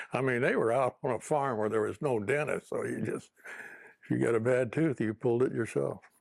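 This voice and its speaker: A man's medium-pitched voice with vocal fry and ordinary pitch variation, dry and close with no echo. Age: 80s+. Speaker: interviewee sharing life story. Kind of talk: interview testimony. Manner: halting, many fillers.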